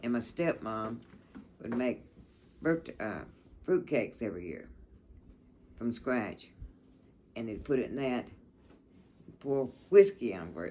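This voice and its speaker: A woman with a Southern US accent speaks at a fairly slow pace with long, frequent pauses, her pitch very deep and low with very wide swings. Her tone is dark and mellow, and her loudness swings a lot. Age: 80s+. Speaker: grandmother sharing memories. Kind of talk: casual chat.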